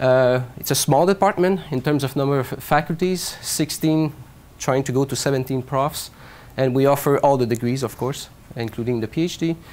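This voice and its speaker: A man with a Quebec accent speaks at a moderate pace, his fairly high pitch showing ordinary variation. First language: French. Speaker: professor. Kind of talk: lecture.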